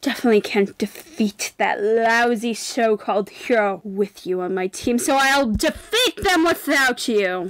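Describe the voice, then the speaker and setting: A woman's put-on character voice, fairly high in pitch, with lively intonation. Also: moderate pace, hardly any pauses. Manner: contemptuous, scornful.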